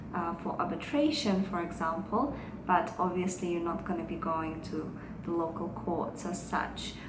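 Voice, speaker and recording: A woman's fairly low voice with audible room echo and noticeable background noise. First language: Russian. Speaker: lawyer. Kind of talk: vlog talk to camera.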